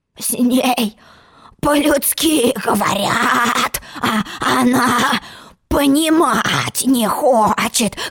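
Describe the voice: A woman puts on a character voice at a very slow pace, hoarse and croaky with a slightly husky edge, a fairly bright tone, a fairly high pitch and ordinary pitch variation.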